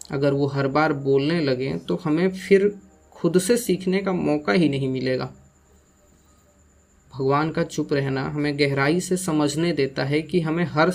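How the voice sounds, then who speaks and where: A quiet man's voice, fairly high in pitch, with ordinary pitch variation. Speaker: voiceover artist. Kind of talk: spiritual reflection monologue. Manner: slow, quiet; emotional.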